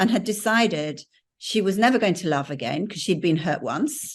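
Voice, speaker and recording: The woman's medium-pitched voice moves with lively intonation, and the background stays quiet. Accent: English. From England. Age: 70s. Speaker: mentor and business coach. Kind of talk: casual conversation with an audience.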